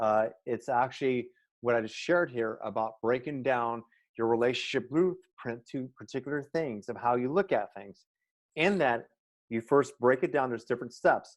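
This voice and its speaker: A man's plain, everyday voice at medium pitch, moderate pace and ordinary pitch variation, against a quiet background. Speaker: transformational life coach. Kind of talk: interview.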